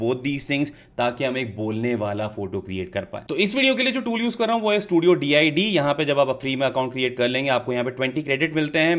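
A man talks at a very fast pace. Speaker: tech youtuber. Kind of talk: tutorial. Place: home room. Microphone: studio mic.

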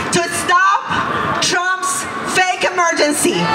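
The speech moves at a very slow pace. Loud background noise is present throughout. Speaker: activist organizer. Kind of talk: rally speech to a crowd. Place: street.

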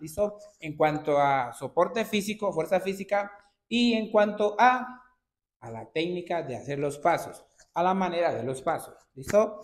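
Speaking at a fairly slow pace, a man uses lively intonation with big swings in loudness. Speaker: dance instructor. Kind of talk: tutorial. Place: studio. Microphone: camera far.

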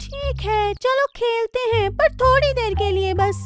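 A cartoonish character voice that sounds female, pitched extremely high. Faint music plays in the background. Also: moderate pace. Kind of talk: children's cartoon dub. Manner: earnest, slightly hesitant.

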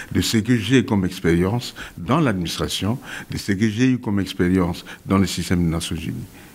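A man's low-pitched voice with a slightly mellow tone, ordinary pitch variation and a moderate pace

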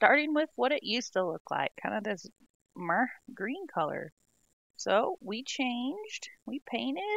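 A woman's high-pitched voice with very wide pitch swings, a fairly slow pace, long and frequent pauses, and a dry sound free of echo. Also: quiet background. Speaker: home remodel vlogger. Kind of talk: casual vlog chat.

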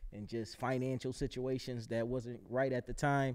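In an American accent, a man with a dark, mellow tone talks at a fairly quick pace, his intonation monotone and flat. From Buffalo, New York; New York. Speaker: rapper and actor; actor. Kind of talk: casual interview chat. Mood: candid, reflective. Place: studio. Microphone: studio mic.

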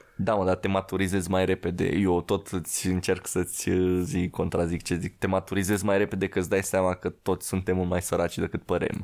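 The man's pitch is very deep and low, his intonation flat and monotone. He talks at a fairly quick pace with very even loudness against a quiet background. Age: young. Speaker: podcast guest. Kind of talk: casual chat. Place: studio. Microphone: studio mic.

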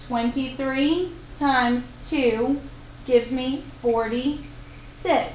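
A woman speaks at a very slow pace with a high pitch and ordinary pitch variation. Noticeable background noise runs underneath. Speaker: math teacher. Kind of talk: math tutorial narration.

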